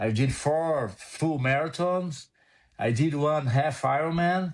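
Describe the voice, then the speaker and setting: Speaking at a very slow pace with a Portuguese accent, a man with a fairly high pitch and ordinary pitch variation keeps his loudness very even on a very clean recording with a silent background. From Brazil. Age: 60s. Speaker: motorsport photographer. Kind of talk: casual interview chat.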